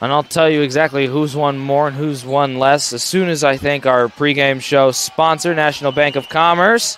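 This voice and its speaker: A man with an American accent and a fairly high pitch, at a moderate pace with hardly any pauses and fairly even intonation, over noticeable background noise. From Wisconsin. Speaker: play-by-play broadcaster. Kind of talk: live sports commentary. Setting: gym broadcast. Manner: loud.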